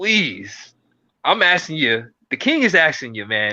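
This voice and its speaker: Vocal fry and very wide pitch swings mark this man's bright, sharp tone as he speaks at a fairly slow pace with an American accent. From US South. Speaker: podcast co-host. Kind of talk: casual chat. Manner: informal, filler-heavy.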